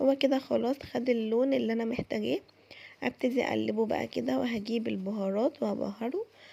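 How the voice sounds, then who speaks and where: A woman speaks in an Egyptian accent. Her pace is moderate. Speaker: cooking vlogger. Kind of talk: cooking tutorial. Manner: casual, chatty.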